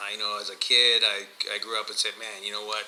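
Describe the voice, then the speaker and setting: Over noticeable background noise, a man with a Spanish accent speaks at a moderate pace. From Miami, Florida (born in Guatemala). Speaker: podcast co-host. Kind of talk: casual chat. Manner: hesitant, many fillers.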